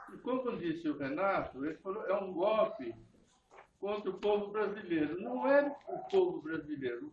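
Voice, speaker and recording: The pitch swings very widely as a man talks. He keeps a fairly slow pace. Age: 80s+. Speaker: party supporter at political meeting. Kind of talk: short speech at political meeting.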